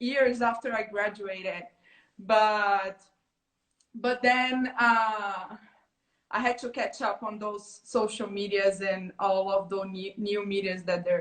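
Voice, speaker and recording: At a very slow pace, a woman speaks at medium pitch with fairly even intonation. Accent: Brazilian Portuguese. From Brazil. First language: Portuguese. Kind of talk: interview.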